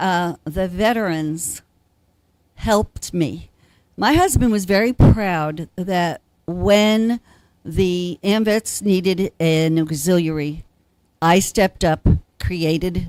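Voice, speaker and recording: A woman speaks very slowly in a dry, close sound with no echo, the recording very clean against a silent background. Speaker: veterans auxiliary officer. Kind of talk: telethon interview. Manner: halting, many fillers.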